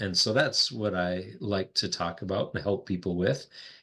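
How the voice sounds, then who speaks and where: In a North Dakota accent, a bright, sharp voice speaks at a fairly slow pace over a quiet background. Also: man. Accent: North Dakotan. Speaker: executive coach, former pastor. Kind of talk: podcast interview.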